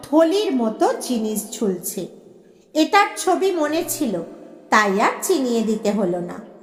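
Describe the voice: A woman speaks at a slow pace, her pitch swinging widely.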